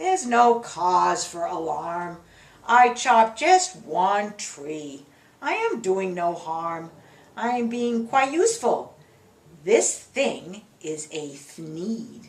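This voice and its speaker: Using a put-on character voice, a woman speaks very slowly at a medium pitch with very wide pitch swings. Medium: read story. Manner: brash, defiant.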